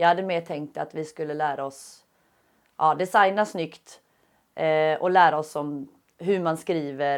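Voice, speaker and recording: In a voice pitched very deep and low, a woman talks at a fairly slow pace. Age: 30s. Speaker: UX design student. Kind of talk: interview answers. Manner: halting with many fillers.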